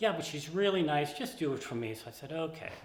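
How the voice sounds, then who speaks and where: Over noticeable background noise and audible room echo, a man talks at a fairly quick pace. His fairly high voice swings very widely in pitch. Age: 70s. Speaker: interviewee in documentary, long-married husband. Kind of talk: interview.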